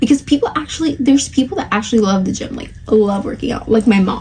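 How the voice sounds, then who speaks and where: Over noticeable background noise, a woman speaks with a Spanish accent in a high voice. Her tone is animated and her intonation lively. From Spanish-speaking country, moved at eight. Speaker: podcast host. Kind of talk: casual chat.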